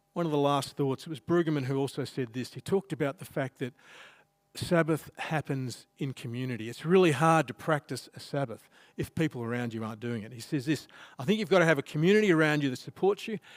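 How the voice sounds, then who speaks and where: Talking at a very fast pace, a man with an Australian accent uses a fairly high pitch and big swings in loudness. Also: ordinary pitch variation, dry, close sound with no echo. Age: 60s. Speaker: pastor. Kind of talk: sermon. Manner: conversational.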